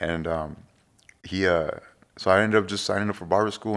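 The recording is very clean with a silent background. A man speaks in a very deep, low pitch with fairly even intonation. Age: 40s. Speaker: barber. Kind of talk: casual chat. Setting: home.

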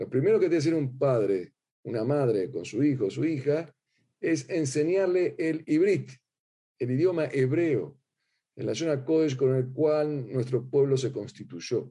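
Using lively intonation, a man with fairly high pitch and a dark, mellow tone speaks at a fairly slow pace. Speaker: rabbi teaching a class. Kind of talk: lecture. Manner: hesitant, many fillers and repetitions.

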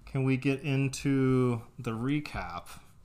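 A man talks with a slight Texas accent. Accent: slight Texas accent, pin-pen merger. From US South, Texas. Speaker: podcast host reading a book aloud to partner. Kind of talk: casual chat, book recap. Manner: casual, joking.

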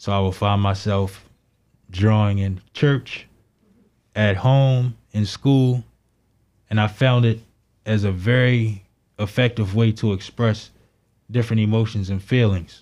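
Fairly low-pitched male speech in an American accent, fairly slow with long, frequent pauses, fairly even in intonation, on a very clean recording with a silent background. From Baltimore, Maryland. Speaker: artist and science teacher. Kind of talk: interview.

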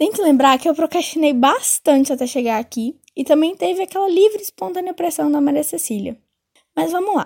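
A woman with a high pitch and a Minas Gerais accent talks at a fairly quick pace with lively intonation, in a dry, close sound with no echo. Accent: Minas Gerais Brazilian Portuguese (mineiro). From Brazil, Minas Gerais (Belo Horizonte). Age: 20s. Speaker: podcast host, journalism student. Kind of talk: casual monologue.

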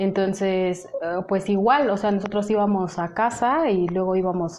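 Fairly slow speech from a woman, with noticeable background noise. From Mexico. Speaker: humanitarian aid worker. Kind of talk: interview. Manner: hesitant, many fillers and repetitions.

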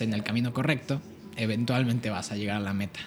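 Intonation stays fairly even in this man's speech. He talks at a moderate pace. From Querétaro, Mexico. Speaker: singer-songwriter and music producer. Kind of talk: casual chat.

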